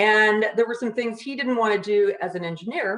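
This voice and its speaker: Speaking fairly quickly with lively intonation, a woman has an unremarkable speaking voice. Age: 60s. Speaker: construction business owner and author. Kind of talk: casual interview.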